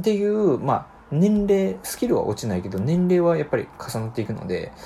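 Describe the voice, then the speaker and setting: With very wide pitch swings, a man talks at a moderate pace as noticeable background noise carries on. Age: 30s. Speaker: podcast host. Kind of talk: solo casual talk.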